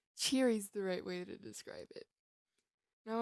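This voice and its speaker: A woman at medium pitch and a fairly slow pace, in a dry, close sound with no echo. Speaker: fan fiction reader. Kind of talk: reading aloud. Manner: projects more and sounds cheery when smiling.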